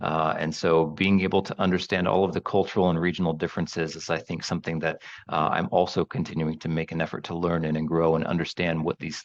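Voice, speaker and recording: A man speaks with an American accent in a very deep, low pitch. His delivery is monotone and fairly quick, with hardly any pauses. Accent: American-sounding. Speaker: training academy director. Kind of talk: interview.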